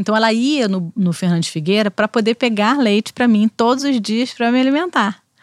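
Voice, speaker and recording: A woman speaks in an ordinary speaking voice at a fairly high pitch, with ordinary pitch variation and very even loudness. Her pace is fairly quick with hardly any pauses, and the sound is dry and close with no echo. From Brazil, Rio de Janeiro. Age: 40s. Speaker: criminal lawyer. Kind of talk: casual interview.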